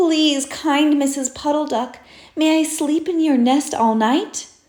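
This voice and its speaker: A woman uses a put-on character voice. Her pitch is high. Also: fairly slow pace. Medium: read story. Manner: wistful, small.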